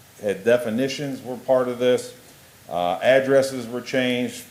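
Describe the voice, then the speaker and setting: Noticeable background noise is present. A man speaks at a moderate pace. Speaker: school district administrator presenting policy. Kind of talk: board meeting report. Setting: school board meeting. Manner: quiet.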